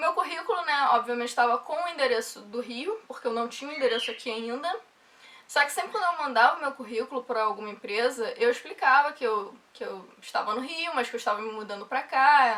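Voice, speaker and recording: A woman with a Rio de Janeiro accent speaks in a raised, projected voice with a high pitch, lively intonation and big swings in loudness over noticeable background noise. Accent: carioca accent, noticeable. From Rio de Janeiro, Brazil. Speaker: software developer vlogger. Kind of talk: casual vlog talk.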